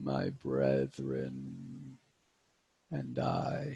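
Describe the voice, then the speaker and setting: Using a put-on character voice, the man pitches himself very deep and low. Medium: actual play. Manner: slow, solemn, cryptic.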